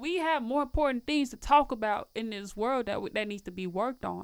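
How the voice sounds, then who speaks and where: With an American accent, a woman talks at a fairly quick pace with lively intonation. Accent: Southern US, comes and goes. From Tennessee. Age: 20s. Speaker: media personality and recording artist. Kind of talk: casual interview chat.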